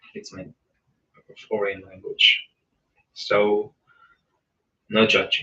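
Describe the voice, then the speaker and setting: The speaker has a non-native accent and talks at a very slow pace. Long pauses come often. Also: man. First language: not English. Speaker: book reader and commentator. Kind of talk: reading aloud with casual commentary. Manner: casual; halting, with self-corrections.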